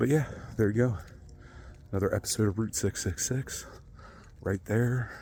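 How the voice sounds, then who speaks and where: A man speaks softly. His voice is somewhat breathy. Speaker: true crime vlogger. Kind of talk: casual on-location vlog. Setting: outdoors. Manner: soft-spoken; halting, many fillers.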